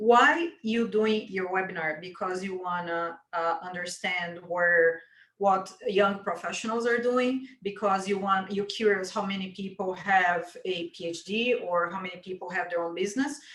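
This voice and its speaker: Her intonation stays fairly even. The woman's voice sits at a medium pitch. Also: moderate pace. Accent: non-native. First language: not English. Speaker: webinar co-host. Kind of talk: panel discussion.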